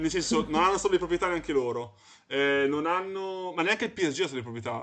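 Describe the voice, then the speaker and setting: Very fast speech from a male talker with a fairly high pitch. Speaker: podcast host. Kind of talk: casual chat.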